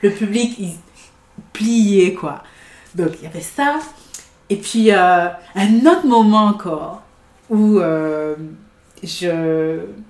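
Very slowly, a woman speaks at medium pitch with lively intonation. Her loudness swings widely, and long, frequent pauses break up her speech. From Guadeloupe. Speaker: theatre and improv enthusiast. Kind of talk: casual chat.

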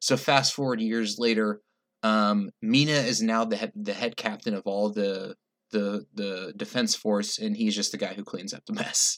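Speaking at a moderate pace, a man uses a normal speaking voice that is fairly low in pitch, with fairly even intonation. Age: 30s. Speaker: guest co-host. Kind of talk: casual chat.

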